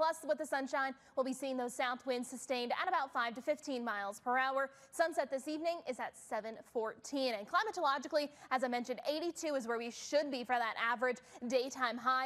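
A high-pitched woman at a moderate pace. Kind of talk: weather forecast presentation. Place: studio. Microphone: lapel.

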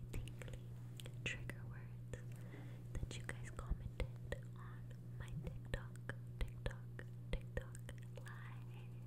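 A woman talks at a very slow pace, leaving long, frequent pauses. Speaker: ASMR creator. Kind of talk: ASMR trigger words. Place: home room. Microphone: studio mic.

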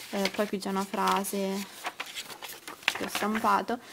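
There is noticeable background noise as this woman talks in a medium pitch. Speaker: vlogger. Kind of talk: casual vlog, showing planners to camera. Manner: rambling, hesitant, chatty.

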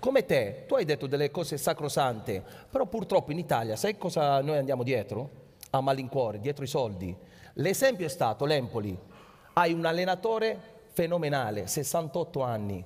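Pausing long and often, a man talks at a moderate pace in a somewhat breathy voice with very wide pitch swings. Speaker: guest. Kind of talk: heated panel discussion on stage. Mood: indignant about Italian football. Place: stage.

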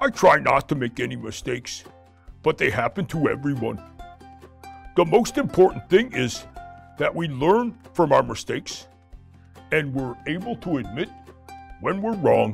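Doing a cartoonish character voice over clear background music, a man speaks at a moderate pace and a fairly high pitch, with long, frequent pauses. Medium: puppet.

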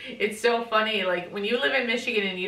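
Audible room echo surrounds a woman speaking with ordinary pitch variation. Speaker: home vlogger. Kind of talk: casual vlog chat. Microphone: camera far.

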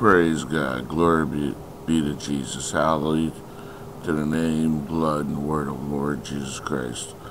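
The speech runs at a fairly slow pace with fairly even intonation. Noticeable background noise can be heard. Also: man, very deep, low pitch for a man. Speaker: prayer leader. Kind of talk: fervent prayer. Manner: fervent, declarative; repetitive, rhythmic.

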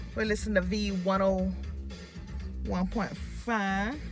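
A woman talks at a fairly slow pace, with clear music in the background and a dry sound that has no echo. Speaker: hair vlogger. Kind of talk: casual vlog chat. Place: car. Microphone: phone near.

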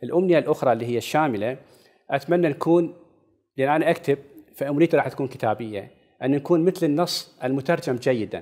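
Fairly high in pitch for a man, this dark, mellow voice moves at a fairly quick pace with ordinary pitch variation against a quiet background. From Iraq. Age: 50s. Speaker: novelist; interview guest. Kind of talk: interview. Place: studio. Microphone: lapel.

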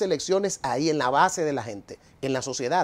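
A man's fairly quick speech with lively intonation. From Dominican Republic. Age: 40s. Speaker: economist and political movement leader. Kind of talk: TV interview. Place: studio. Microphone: lapel.

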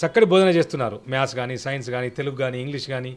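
A man's voice at a fairly high pitch with ordinary pitch variation. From Telangana, Sircilla; Telangana. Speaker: children's author and poet; poet. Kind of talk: interview. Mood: earnest, advisory. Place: home room. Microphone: handheld.

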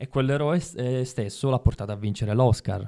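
A man talks very fast at a medium pitch, his tone dark and mellow and his intonation fairly even, against a quiet background. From Sicily (Ribera); Sicily. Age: 30s. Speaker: actor. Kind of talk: casual interview chat. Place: studio. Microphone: studio mic.

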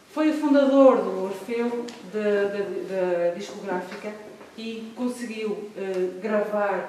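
A woman speaks with audible room echo. Light background noise sits behind her. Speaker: event presenter. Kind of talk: welcoming introduction. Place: hall. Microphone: camera far.

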